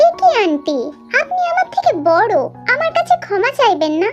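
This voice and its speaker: Clear music plays behind a woman doing a squeaky, put-on character voice. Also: moderate pace. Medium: read story.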